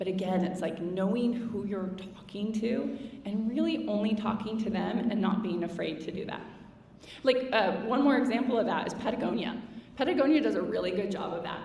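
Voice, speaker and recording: Fairly high female speech at a fairly quick pace, with noticeable background noise and audible room echo. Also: ordinary pitch variation. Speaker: marketing executive. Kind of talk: conference Q&A. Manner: casual, animated.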